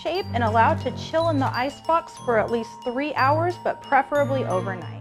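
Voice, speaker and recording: With music in the background, a woman talks at a moderate pace with hardly any pauses. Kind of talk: cooking tutorial instructions.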